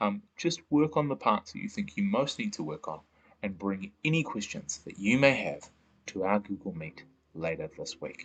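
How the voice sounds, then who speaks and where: A man with a fairly high pitch speaks with vocal fry and very wide pitch swings. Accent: New Zealand. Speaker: science teacher. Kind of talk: online lesson. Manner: fast.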